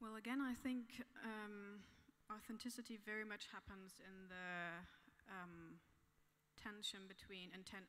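A woman's bright, sharp tone, fairly slow pace and fairly even intonation. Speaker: artist; panelist. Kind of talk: panel discussion. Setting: stage with audience. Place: stage. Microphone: handheld.

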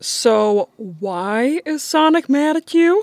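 A woman does a cartoonish character voice at a high pitch, slow and with lively intonation. Her tone is slightly mellow, and the sound is dry and close with no echo.

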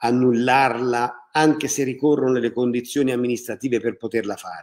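On a very clean recording with a silent background, a man with a normal speaking voice talks at a medium pitch and a moderate pace. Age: 60s. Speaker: mayor. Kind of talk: public information livestream. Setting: live video broadcast.

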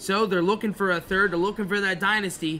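Over light background noise, a man projects a raised, high-pitched voice with a bright, sharp tone. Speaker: college hockey show host; show host. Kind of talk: sports preview panel chat; sports panel show chat. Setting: arena venue. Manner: energetic. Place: stadium. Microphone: studio mic.

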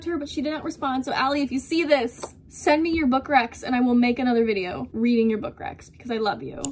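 Over light background noise, a woman speaks at high pitch and a fairly quick pace with ordinary pitch variation. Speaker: book vlogger. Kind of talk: casual vlog chat. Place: home room. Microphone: phone near.

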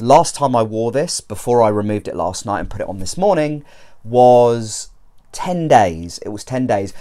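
His tone dark and mellow, a man speaks at a moderate pace with lively intonation and big swings in loudness. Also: quiet background. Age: 30s. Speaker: YouTuber reviewing hair systems. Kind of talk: product review vlog. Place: home room. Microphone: lapel.

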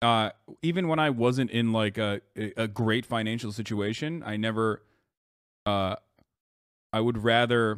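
Against a quiet background, a man talks at a fairly slow pace with ordinary pitch variation and long, frequent pauses. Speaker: live streamer. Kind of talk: casual stream commentary reacting to chat. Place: home room. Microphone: studio mic.

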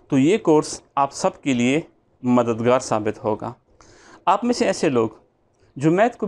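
Speaking at a fairly slow pace, this is a man. His pitch swings very widely. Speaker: math teacher. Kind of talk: lecture introduction. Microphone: lapel.

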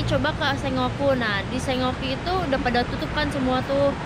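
The recording is dry, with no echo, but carries loud background noise. A woman speaks at a moderate pace. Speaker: travel vlogger. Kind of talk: casual vlog chat. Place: street. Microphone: phone near.

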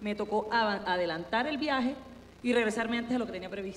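A woman speaks in a coastal Colombian accent at a fairly high pitch. Light background noise can be heard. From Colombian Caribbean coast. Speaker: candidate's spouse; candidate. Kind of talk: casual chat. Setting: stage with audience. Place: studio. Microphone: handheld.

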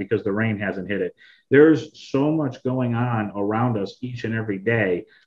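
With ordinary pitch variation and a moderate pace, a man's voice comes through over a quiet background. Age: 30s. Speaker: former sports radio host, sales director. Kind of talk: casual interview chat. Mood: relaxed, nostalgic.

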